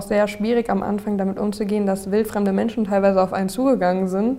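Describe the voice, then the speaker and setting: Her dark, mellow tone sits at a medium pitch for a woman, and she speaks fairly quickly in a monotone, flat intonation. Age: 20s. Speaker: social media influencer on acne. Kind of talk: interview, personal testimony.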